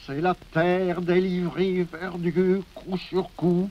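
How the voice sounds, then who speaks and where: Speech comes at a very slow pace from a man. His pitch is high. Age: 80s+. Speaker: poet. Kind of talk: poetry reading. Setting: archival recording from 1950.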